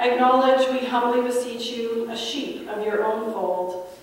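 Heard through strong room echo, a woman talks at a fairly slow pace with ordinary pitch variation. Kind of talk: liturgical prayer. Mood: solemn, gentle. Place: church.

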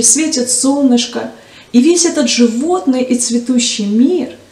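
Speaking at a fairly slow pace, a woman with a high voice is heard with audible room echo. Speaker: storyteller for church children's program. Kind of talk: storytelling to children. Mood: warm, gentle narration. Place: studio.

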